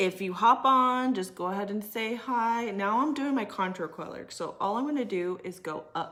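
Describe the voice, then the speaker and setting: Loud and fairly high-pitched, a woman with an American accent speaks at a fairly slow pace with very wide pitch swings. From California. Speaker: makeup artist and aesthetician. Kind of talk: live makeup tutorial. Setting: livestream at home. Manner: casual, filler-heavy.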